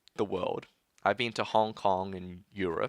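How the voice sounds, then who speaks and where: With an Australian accent, a man speaks at a fairly quick pace in a fairly low-pitched, bright, sharp tone. The sound is dry and close with no echo, in a very clean recording over a silent background. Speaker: tech YouTuber. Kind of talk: livestream Q&A chat. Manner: casual with many fillers.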